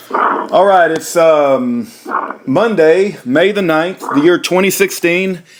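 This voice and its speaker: Noticeable background noise sits behind a man with a high pitch. He talks at a very slow pace with ordinary pitch variation. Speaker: channel host, interviewer. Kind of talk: casual phone interview.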